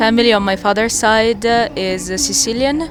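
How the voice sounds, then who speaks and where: Music plays in the background while a woman speaks with a Milanese accent. The room has an audible echo. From northern Italy, Milan. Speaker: doctoral researcher. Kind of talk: casual chat. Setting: outdoors in a rural area.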